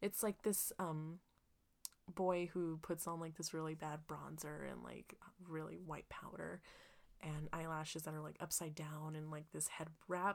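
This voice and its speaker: A woman talks at a fairly slow pace with a very deep, low pitch. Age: 20s. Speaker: podcast co-host. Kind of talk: casual chat. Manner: animated.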